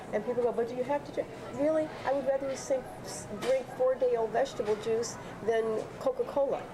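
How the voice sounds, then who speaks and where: A woman's very fast, high-pitched speech in an American accent, fairly even in intonation, over noticeable background noise. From US Midwest, Chicago. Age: 60s. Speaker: health and wellness teacher. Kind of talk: interview.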